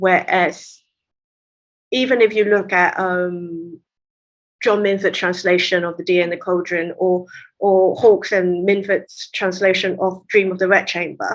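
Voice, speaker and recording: A woman speaks with a Cantonese accent at a fairly slow pace, her pitch medium and her intonation flat and monotone. The recording is very clean, with a silent background. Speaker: literary translator. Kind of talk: interview conversation.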